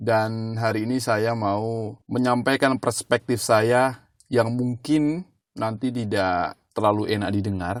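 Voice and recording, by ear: A man speaks slowly with a fairly low voice. His pitch varies in an ordinary way.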